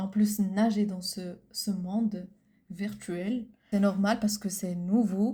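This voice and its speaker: Speaking at a very slow pace, a woman has a dark, mellow tone that is somewhat breathy, her intonation monotone and flat. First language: Arabic (speaking French). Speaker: podcast co-host. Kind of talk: casual chat. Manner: halting.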